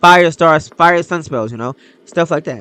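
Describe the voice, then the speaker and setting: A man is speaking. His tone is bright and sharp. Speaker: gaming YouTuber. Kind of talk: casual commentary video. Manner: stuttering, many fillers.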